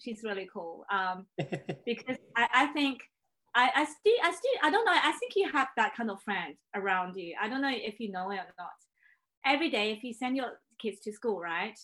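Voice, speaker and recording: In a Chinese accent, a woman with a bright, sharp tone and fairly high pitch speaks with long, frequent pauses. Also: lively intonation, moderate pace. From China. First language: Mandarin Chinese. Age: 30s. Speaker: pianist. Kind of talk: casual chat.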